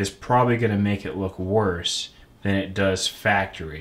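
A man's normal speaking voice, fairly low in pitch, with ordinary pitch variation and a moderate pace. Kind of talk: tutorial. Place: home room.

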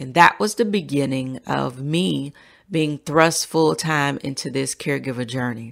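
With an American accent, a woman with a very deep, low voice and vocal fry speaks in an animated tone with lively intonation at a moderate pace, in a very clean recording with a silent background. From US South, Central Florida. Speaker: podcast host and family caregiver. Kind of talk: solo podcast monologue.

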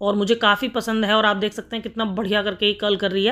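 A woman talks over a quiet background. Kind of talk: tutorial. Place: shop. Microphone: phone near.

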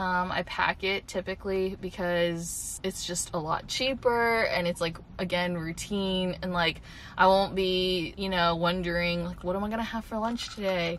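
A woman speaks at a moderate pace with fairly even intonation. There is light background noise. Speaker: vlogger. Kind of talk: casual vlog chat. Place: car.

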